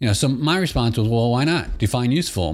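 A man speaks with lively intonation in an American accent. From Michigan, US. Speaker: podcast host. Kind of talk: solo podcast monologue. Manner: casual, with frequent fillers.

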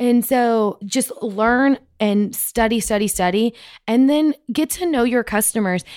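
In dry, close sound with no echo, a woman with an American accent speaks at a fairly slow pace in an animated tone with ordinary pitch variation. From West Texas. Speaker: oilfield sales account manager. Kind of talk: interview.

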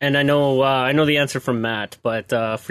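A man's medium-pitched voice at a moderate pace, an unremarkable speaking voice, over a quiet background. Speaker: podcast co-host. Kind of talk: casual banter. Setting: wearing headphones, sounds different on mic.

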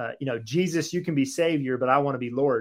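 With an unremarkable speaking voice, a man talks at a fairly quick pace and a fairly high pitch. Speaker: author and ministry founder. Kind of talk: interview, testimony.

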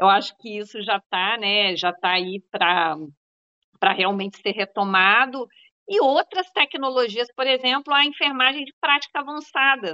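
Fairly slow and fairly high in pitch, a woman talks with lively intonation in a plain, everyday voice. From Zona da Mata, Minas Gerais. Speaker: health researcher and professor. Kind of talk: panel discussion.

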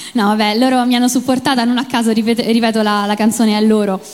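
A woman's fairly high voice in a Roman accent, against noticeable background noise. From Rome, Italy. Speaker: singer and cosplayer, contest finalist. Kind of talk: interview on stage. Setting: stage with audience. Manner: hesitant, many fillers.

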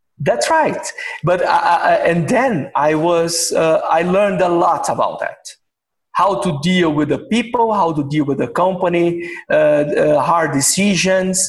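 Speaking at a fairly slow pace, a man holds a high pitch with very even loudness. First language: Portuguese. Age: 50s. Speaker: executive of a machining company. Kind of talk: interview. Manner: halting.

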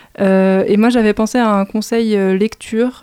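Very slowly, a woman speaks at a medium pitch in a dark, mellow tone with monotone, flat intonation. The recording is very clean, with a silent background. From Île-de-France, Val-de-Marne. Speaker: arts communications manager. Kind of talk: interview.

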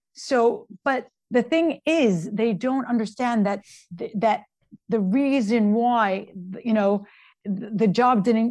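Ordinary pitch variation in a voice with some breathiness. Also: woman. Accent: New York. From Brooklyn, New York. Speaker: interior designer. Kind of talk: interview.

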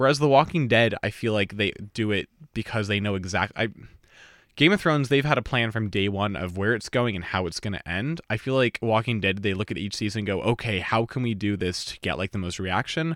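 A man's fairly low-pitched, plain, everyday voice at a fairly quick pace, with a dry, close sound and no echo. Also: ordinary pitch variation, very clean recording, silent background. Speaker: student podcast host. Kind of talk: casual chat.

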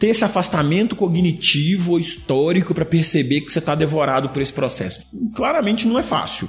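Against background music, a man with a high voice talks fairly quickly with ordinary pitch variation. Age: 30s. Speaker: guest commentator on psychology and society. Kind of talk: casual podcast interview. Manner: halting, with repeated filler words.

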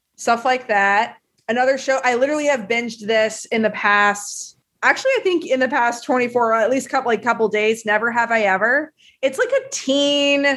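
A woman with an American accent, high in pitch, with ordinary pitch variation at a moderate pace. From US South, Tennessee. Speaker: film journalist. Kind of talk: casual chat. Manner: animated.

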